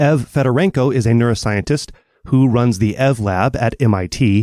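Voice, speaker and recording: A man uses a normal speaking voice at medium pitch, his intonation lively. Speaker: podcast host. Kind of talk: interview.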